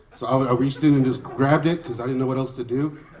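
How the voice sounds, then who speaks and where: A man with an American accent talks at a very fast pace. His voice is medium-pitched, and there is noticeable background noise. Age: 30s. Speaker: stand-up comedian. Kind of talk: stand-up comedy set.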